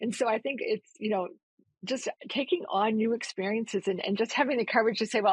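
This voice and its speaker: Fairly high-pitched and somewhat breathy, a woman talks at a fairly quick pace in a Massachusetts accent, with ordinary pitch variation and a dry, close sound with no echo. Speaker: nonprofit CEO. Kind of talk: interview conversation.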